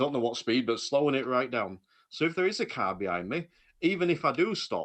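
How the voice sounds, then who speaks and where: Animated and fairly quick, a man speaks with a fairly high pitch, vocal fry, and very wide pitch swings. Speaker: driving instructor. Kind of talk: casual chat. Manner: animated, ranty.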